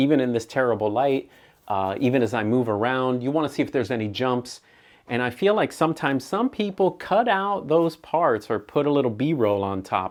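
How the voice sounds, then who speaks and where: A man speaks at a medium pitch with lively intonation and an animated tone. His pace is fairly quick, and the background is quiet. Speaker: photographer and camera reviewer. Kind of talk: unedited camera test video. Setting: indoors, poor lighting, talking to camera. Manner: casual, animated.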